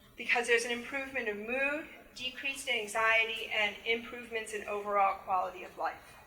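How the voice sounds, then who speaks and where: A woman at a fairly high pitch and fairly quick pace, fairly even in intonation, with big swings in loudness, audible room echo, and noticeable background noise. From New England. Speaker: music therapy professor. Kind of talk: lecture.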